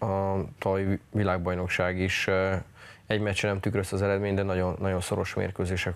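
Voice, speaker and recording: The delivery moves at a moderate pace with a monotone, flat intonation. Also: man. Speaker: national team ice hockey coach. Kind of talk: TV studio interview. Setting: studio. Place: studio. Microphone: lapel.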